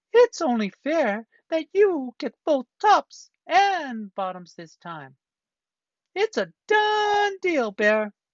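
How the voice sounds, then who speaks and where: In a put-on character voice, the speaker goes very slowly at a high pitch with very wide pitch swings. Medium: read story. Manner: friendly, smooth-talking.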